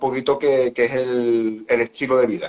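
A man at a medium pitch and a fairly slow pace. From Seville, southern Spain. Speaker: athlete and Crohn's patient. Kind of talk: live-stream interview.

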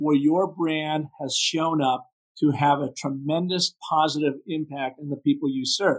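In an American accent, a man with an unremarkable speaking voice talks at a fairly slow pace and fairly high pitch, his intonation fairly even, the sound dry and close with no echo. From US Pacific Northwest. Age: 60s. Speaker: brand story strategist. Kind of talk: podcast interview.

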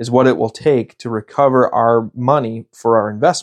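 In an American accent, a man with a plain, everyday voice at medium pitch talks at a fairly slow pace, the sound dry and close with no echo against a quiet background. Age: 30s. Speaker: podcast host, pest control business owner. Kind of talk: casual monologue.

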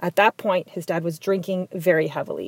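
With an Ontario accent, a woman at medium pitch talks at a fairly quick pace in a dry, close sound with no echo. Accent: Canadian English (Ontario). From southwestern Ontario, Canada (Tecumseh, near Windsor). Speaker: community advocate. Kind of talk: personal storytelling monologue.

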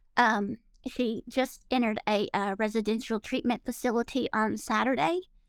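This woman has a fairly high pitch and ordinary pitch variation, speaking at a moderate pace. Her recording sounds dry and close, with no echo. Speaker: mother of addict. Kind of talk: call-in conversation. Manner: halting, many hesitations.

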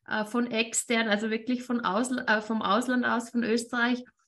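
A woman's high-pitched voice with a bright, sharp tone. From Austria. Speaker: networking entrepreneur and interview show host. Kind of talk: casual interview chat.

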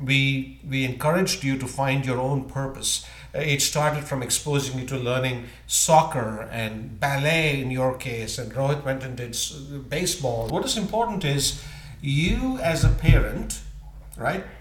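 Fairly slow speech with ordinary pitch variation, over noticeable background noise. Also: man, medium pitch for a man. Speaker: guest, host's father. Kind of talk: casual chat.

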